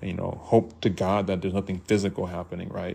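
Very fast and very deep, a man with an American accent talks on a very clean recording with a silent background. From Kansas, US. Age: 40s. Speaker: podcast host. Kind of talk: personal monologue. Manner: casual, hesitant.

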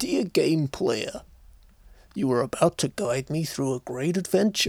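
Putting on a character voice, a man sounds strained at a fairly high pitch and a moderate pace.

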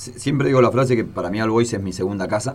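A man with an ordinary speaking voice, fairly low in pitch, with ordinary pitch variation. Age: 40s. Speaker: former footballer. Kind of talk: interview. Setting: studio.

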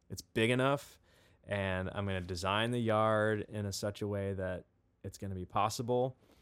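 A plain, everyday voice, this man's is fairly low in pitch and fairly even in intonation, with an American accent and a moderate pace, on a very clean recording with a silent background. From US Midwest, St. Louis, Missouri. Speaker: live sound engineer and musician. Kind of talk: casual interview chat.

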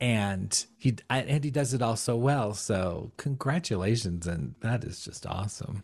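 A man talks at a fairly slow pace and medium pitch, somewhat breathy. His intonation is lively. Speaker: podcast co-host. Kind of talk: casual chat.

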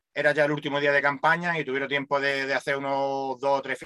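A man with a Málaga accent talks at a fairly quick pace and fairly high pitch, his tone bright and sharp, in a dry, close sound with no echo. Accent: Málaga Andalusian Spanish. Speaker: radio co-host. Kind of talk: casual chat.

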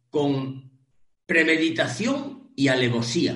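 With audible room echo, a man speaks in an animated tone, his pitch swinging very widely. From Spain, Cantabria. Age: 50s. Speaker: online training business founder, transport trainer. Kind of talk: interview.

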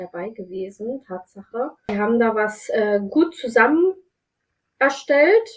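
A woman speaks at a very slow pace. Her fairly high voice moves with lively intonation. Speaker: social worker. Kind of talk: casual chat. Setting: video call. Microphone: no professional microphone, poor sound quality.

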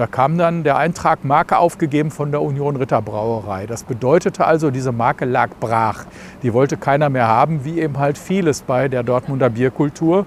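A man's fairly high voice, with ordinary pitch variation, keeps a moderate pace while noticeable background noise runs underneath. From Germany, Dortmund. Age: 60s. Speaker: brewery managing director. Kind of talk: interview.

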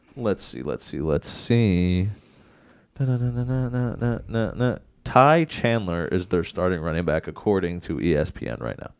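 The voice swings very widely in pitch, heard in a very clean recording against a silent background. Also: man, very deep, low pitch for a man. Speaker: sports podcast host. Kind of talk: casual sports banter. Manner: fast, casual, profane.

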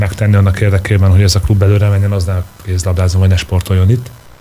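A man talks very fast in a fairly low, somewhat breathy voice with a dark, mellow tone and monotone, flat intonation. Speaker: handball coach. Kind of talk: radio interview. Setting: studio.

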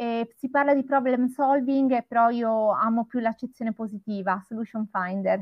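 In a normal speaking voice, a woman talks at a moderate pace with a fairly high pitch and fairly even intonation. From Italy, Florence. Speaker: hospitality trainer, co-host. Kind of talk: live-streamed panel discussion.

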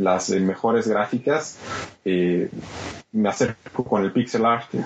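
A man at a fairly slow pace, with noticeable background noise. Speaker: video game podcast co-host. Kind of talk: casual chat.

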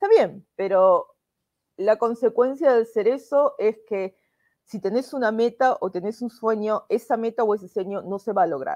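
A dark, mellow tone at a fairly slow pace, with ordinary pitch variation and a dry, close sound with no echo. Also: woman, fairly high pitch for a woman. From Argentina, Buenos Aires. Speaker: immigration lawyer. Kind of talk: interview.

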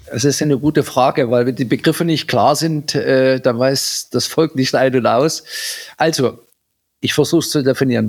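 With ordinary pitch variation, a man talks at a moderate pace and medium pitch in an ordinary speaking voice. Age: 50s. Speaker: agricultural company director. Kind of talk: interview.

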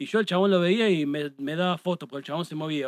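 Very rapid speech from a man, fairly high in pitch for a man, his intonation fairly level. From Argentina, La Pampa province. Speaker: live music photographer. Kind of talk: casual chat. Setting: studio.

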